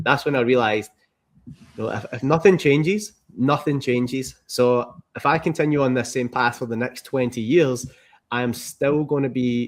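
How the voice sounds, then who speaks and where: A man speaks in a Scottish accent at a moderate pace. His medium-pitched voice keeps fairly even intonation. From Scotland. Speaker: entrepreneur, former car mechanic. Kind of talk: interview. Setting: podcast.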